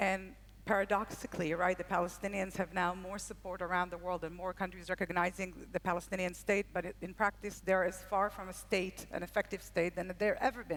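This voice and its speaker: At a fairly quick pace and with hardly any pauses, a woman speaks in a medium-pitched voice with vocal fry and a flat monotone. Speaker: panel moderator. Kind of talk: panel discussion. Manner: fast.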